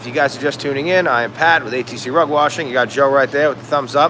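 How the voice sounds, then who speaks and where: Over noticeable background noise, a man rattles along at a very fast pace with hardly any pauses and ordinary pitch variation. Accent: American. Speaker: rug cleaning business owner. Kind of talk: live stream Q&A. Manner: hesitant, many fillers and restarts.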